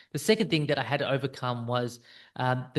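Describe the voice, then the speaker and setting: A man talks at a very fast pace with an Australian accent. The background is quiet. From South Africa (Indian background), raised in Australia. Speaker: business coach for financial planners. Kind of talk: direct-to-camera talk, personal story. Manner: casual, with fillers like um and uh.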